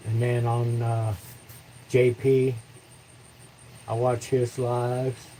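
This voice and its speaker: A man at a very slow pace, monotone and flat, with long, frequent pauses. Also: medium pitch for a man. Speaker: woodturning livestreamer. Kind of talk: casual livestream chat. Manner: halting, repeats words.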